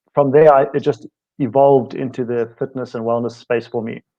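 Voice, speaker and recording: The speaker has a South African accent. The pace is fairly quick. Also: man. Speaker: fitness and wellness coach, co-host. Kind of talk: casual self-introduction. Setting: live online show.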